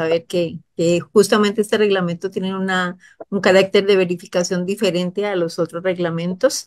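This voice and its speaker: Only a quiet background sits behind the woman speaking. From Costa Rica. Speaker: government official. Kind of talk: expert explanation on a radio program. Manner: halting. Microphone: video call.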